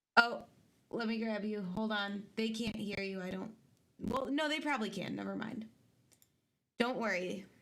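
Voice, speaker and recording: Soft-spoken and bright with a sharp tone, a woman speaks at a fairly high pitch and a moderate pace, with ordinary pitch variation and long, frequent pauses. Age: 20s. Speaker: livestream host. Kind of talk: casual chat.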